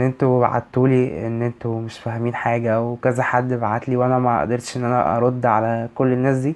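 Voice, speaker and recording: Speaking at medium pitch with hardly any pauses, a man keeps a monotone, flat intonation. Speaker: university student advice vlogger. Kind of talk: vlog advice talk.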